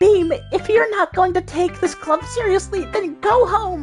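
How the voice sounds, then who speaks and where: A put-on character voice at an extremely high pitch plays over faint background music. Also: moderate pace. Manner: bratty, scolding.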